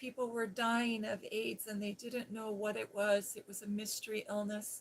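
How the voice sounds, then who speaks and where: A woman speaks at a fairly high pitch. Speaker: ASMR creator and former nurse. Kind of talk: casual storytelling about her nursing past. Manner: soft-spoken, soothing.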